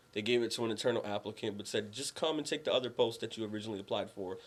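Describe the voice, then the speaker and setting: At a very fast pace, a man with an American accent speaks at medium pitch with ordinary pitch variation. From Massachusetts (Worcester). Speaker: army veteran, housing program manager. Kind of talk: TV interview.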